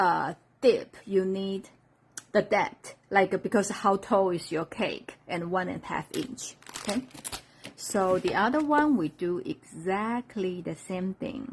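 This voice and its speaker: Her intonation is lively while she talks at a very slow pace, this woman. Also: medium pitch for a woman. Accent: Chinese. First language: Chinese. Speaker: craft demonstrator. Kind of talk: live-stream craft tutorial.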